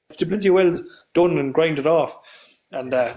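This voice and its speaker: A man speaks with a west of Ireland accent. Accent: west of Ireland Irish. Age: 30s. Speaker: tractor builder. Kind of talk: casual chat. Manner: fast; halting.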